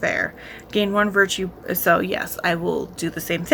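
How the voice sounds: Fairly even intonation in a natural reading voice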